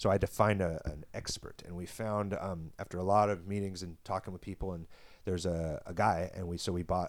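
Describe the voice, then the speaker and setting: Speaking fairly quickly, a man with a very deep, low pitch keeps a monotone, flat intonation. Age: 30s. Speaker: adult film performer. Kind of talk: casual interview.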